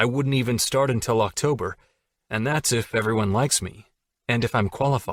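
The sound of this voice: In an unforced reading voice, the speaker reads against a quiet background.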